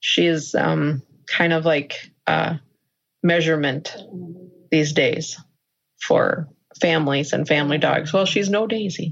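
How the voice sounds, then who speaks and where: With an American accent and very even loudness, the speaker goes at a fairly slow pace with long, frequent pauses. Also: woman, very deep, low pitch for a woman, fairly even intonation. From Minnesota, US Midwest. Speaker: dog owner, therapy dog handler. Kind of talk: interview. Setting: video call.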